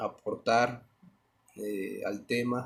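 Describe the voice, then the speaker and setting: His pitch is in the medium range. The man's intonation stays flat and monotone. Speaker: law teacher. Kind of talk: lecture.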